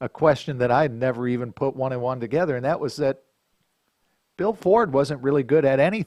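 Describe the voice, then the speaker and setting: With an American accent and an unremarkable speaking voice, a man talks at a fairly quick pace, using a medium pitch and lively intonation. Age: 60s. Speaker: podcast host. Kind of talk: casual chat.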